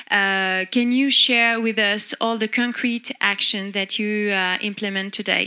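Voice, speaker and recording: Against a quiet background, a woman talks fairly slowly at a medium pitch in a bright, sharp tone. Her intonation is monotone and flat. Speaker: panel moderator. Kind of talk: panel moderation. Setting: stage with audience. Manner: halting. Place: stage. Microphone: handheld.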